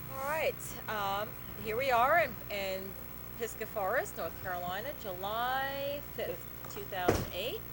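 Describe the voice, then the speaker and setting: Audible room echo and noticeable background noise surround a woman who speaks at a fairly slow pace with long, frequent pauses. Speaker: interviewer, daughter. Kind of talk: family interview. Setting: at home, family present. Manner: projecting, loud.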